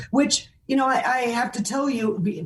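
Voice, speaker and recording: The voice is somewhat breathy, at a fairly slow pace with ordinary pitch variation. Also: woman. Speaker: fundraising auctioneer and keynote speaker. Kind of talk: interview answer.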